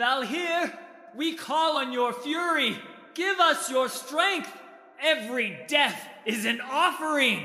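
A man is shouting at an extremely high pitch. Light background noise sits behind him. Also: fairly slow pace, ordinary pitch variation. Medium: read story. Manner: fervent, shouting invocations.

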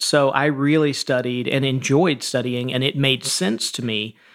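On a very clean recording with a silent background, a man with an ordinary speaking voice talks at a moderate pace. His medium pitch and fairly even intonation carry an American accent. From Georgia, US South. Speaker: CEO and author. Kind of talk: interview conversation.

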